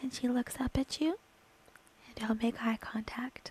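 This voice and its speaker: Over noticeable background noise, a woman speaks with fairly even intonation at a fairly high pitch. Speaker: ASMR creator / gaming streamer. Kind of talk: ASMR roleplay storytelling. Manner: soft, slow, intimate.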